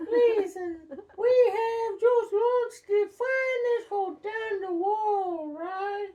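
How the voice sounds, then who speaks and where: A put-on, squeaky character voice at an extremely high pitch, delivered at a very slow pace. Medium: read story. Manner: nervous, twitchy.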